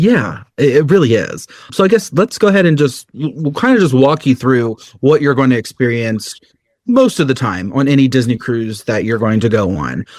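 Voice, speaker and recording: This is a man with a medium-pitched voice. His intonation is lively. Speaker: cruise travel advisor. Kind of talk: casual podcast chat. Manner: fast when excited; animated.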